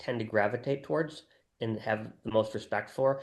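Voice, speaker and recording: A man talks at a moderate pace with medium pitch. His is an unremarkable speaking voice. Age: 60s. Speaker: wealth management founder and investor. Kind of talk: interview.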